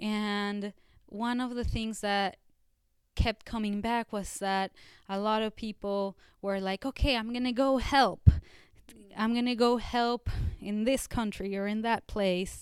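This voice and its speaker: A woman's fairly high, flat, monotone voice, fairly slow with long, frequent pauses, on a very clean recording with a silent background. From Mexico (Mexico City). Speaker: community organizer. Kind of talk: interview.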